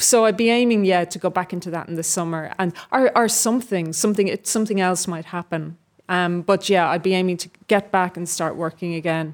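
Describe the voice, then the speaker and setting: Fairly quick, medium-pitched speech from a woman with a Dublin accent, hardly any pauses and fairly even intonation, on a very clean recording with a silent background. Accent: Dublin Irish. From Dublin, Ireland. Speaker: novelist and actor. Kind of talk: interview before a live audience. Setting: stage with live audience.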